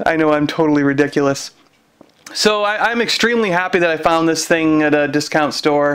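Fairly quick speech with very even loudness and ordinary pitch variation. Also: man, fairly high pitch for a man. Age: 40s. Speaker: toy reviewer and podcast host. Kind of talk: solo video review.

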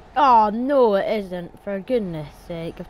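Fairly slow pace with ordinary pitch variation. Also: woman. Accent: Scottish. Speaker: gaming YouTuber. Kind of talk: casual gameplay commentary.

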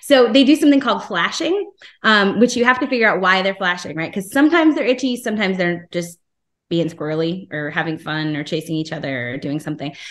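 In an American accent, a woman talks at a very fast pace with very wide pitch swings. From New Jersey. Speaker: aquatic veterinarian; presenter. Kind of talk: lecture. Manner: animated. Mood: friendly, enthusiastic. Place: home room. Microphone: video call.

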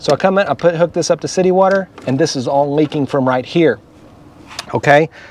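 A man talks at a fairly quick pace with ordinary pitch variation. The recording is dry with no echo, with light background noise. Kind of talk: casual vlog explanation. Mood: animated, recounting a problem. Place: street. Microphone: phone near.

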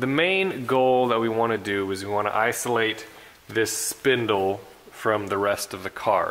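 A man with a normal speaking voice talks at a moderate pace in a fairly low pitch, his intonation fairly even over light background noise. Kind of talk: tutorial. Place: garage. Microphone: camera far.

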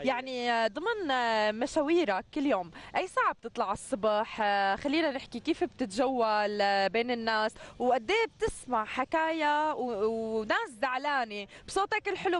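Dry, with no echo, a woman's high-pitched voice moves at a fairly slow pace with lively intonation. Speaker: TV morning show presenter. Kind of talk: TV interview questions. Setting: outdoors. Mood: warm, friendly. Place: street. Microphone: handheld.

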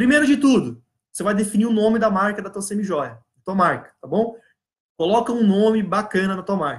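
Behind the speech, the background is quiet. Pitch rises and falls in an ordinary way. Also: man, high pitch for a man. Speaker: business coach. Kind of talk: live online class. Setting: live stream. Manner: fast; animated. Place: office. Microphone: webcam.

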